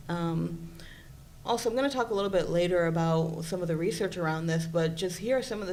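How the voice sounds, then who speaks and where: A woman's fairly low voice at a fairly quick pace, with audible room echo. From Puerto Rico. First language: Spanish. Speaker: psychology presenter. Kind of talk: conference presentation.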